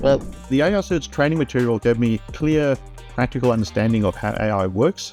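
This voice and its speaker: The speech comes at a fairly quick pace in a South African accent. Music plays in the background. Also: man, medium pitch for a man. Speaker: IT trainer. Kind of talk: testimonial interview answer.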